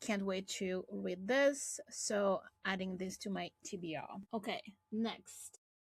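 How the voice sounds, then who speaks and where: Somewhat breathy, the speaker talks at a very slow pace in a French accent. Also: woman, medium pitch for a woman, ordinary pitch variation. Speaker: booktuber. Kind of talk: casual vlog with blurb reading.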